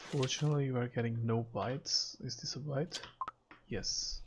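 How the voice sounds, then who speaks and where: The voice is somewhat breathy. It carries a non-native accent. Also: man. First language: not English. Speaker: gaming streamer. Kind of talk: live stream commentary. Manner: casual, thinking aloud.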